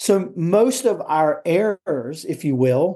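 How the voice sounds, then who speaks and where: A man with an American accent uses lively intonation, a high pitch and a dark, mellow tone, heard over a quiet background. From US South. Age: 50s. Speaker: tennis coach. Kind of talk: interview conversation.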